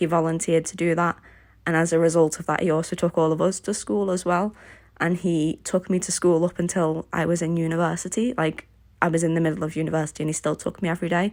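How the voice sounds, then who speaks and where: A Liverpool accent at a fairly quick pace with fairly even intonation, on a very clean recording with a silent background. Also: woman. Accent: Liverpool (Scouse) English. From Liverpool, England. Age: 20s. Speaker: craft YouTuber. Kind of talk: casual Q&A voiceover.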